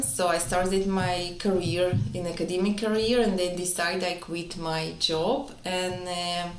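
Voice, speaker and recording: Fairly even intonation and a slight non-native accent at a fairly slow pace, with music in the background and audible room echo. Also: woman. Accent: slight foreign. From Israel. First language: Hebrew or Russian. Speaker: entrepreneur, wellness clinic co-founder. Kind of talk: interview.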